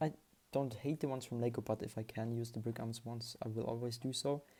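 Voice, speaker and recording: Recorded very cleanly against a silent background, the speaker has a non-native accent. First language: not English. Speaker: Lego hobby YouTuber. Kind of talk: casual video haul. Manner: halting, many fillers.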